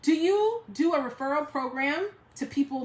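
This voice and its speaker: A woman with an American accent, over noticeable background noise. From New York. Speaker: direct sales team leader. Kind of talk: live stream Q&A. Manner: fast.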